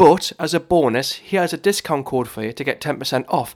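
In a Geordie accent, a high-pitched man speaks with lively intonation on a very clean recording with a silent background. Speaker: podcast host. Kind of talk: casual interview. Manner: enthusiastic, quick-fire.

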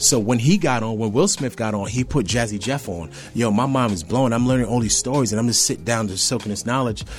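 With music playing behind, this speaker talks very fast in an American accent, with ordinary pitch variation and hardly any pauses. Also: man, medium pitch for a man. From grew up in Staten Island, New York; African roots. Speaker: DJ and motivational speaker. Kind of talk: casual interview. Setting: radio studio. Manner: animated.

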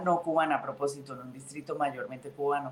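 Over noticeable background noise, a woman speaks at a fairly quick pace in a very deep, low voice. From Colombia, Santander (Bucaramanga). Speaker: state senator, politician. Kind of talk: interview.

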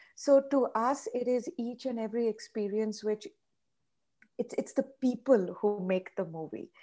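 A woman's fairly high-pitched voice, dark and mellow in tone, at a fairly slow pace. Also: ordinary pitch variation. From India. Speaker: chef and restaurateur. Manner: animated, cheerful.

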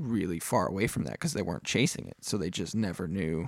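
Speaking at a fairly quick pace with an American accent, a man with an unremarkable speaking voice and fairly low pitch uses lively intonation on a very clean recording against a silent background. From upstate New York. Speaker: guitarist. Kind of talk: casual chat.

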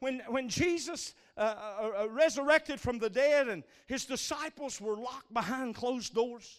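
A man with an extremely high pitch, fairly slow pace, animated tone and lively intonation. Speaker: preacher. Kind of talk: fervent sermon to a live congregation, call-and-response. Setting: church with a congregation. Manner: animated, exhorting, rallying the crowd to praise.

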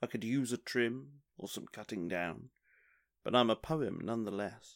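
In a very clean recording with a silent background, a man of medium pitch talks at a fairly slow pace in a playful, animated tone with vocal fry. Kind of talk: spoken word poetry performance. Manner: rhythmic, playful, sing-song cadence with internal rhyme; wry, self-deprecating, animated build on the repeated 'on and on'.

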